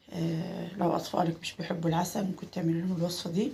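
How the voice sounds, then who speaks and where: At a moderate pace, a woman speaks somewhat breathily with fairly even intonation. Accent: Egyptian. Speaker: cooking channel host. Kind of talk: cooking tutorial. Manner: halting, many filler sounds.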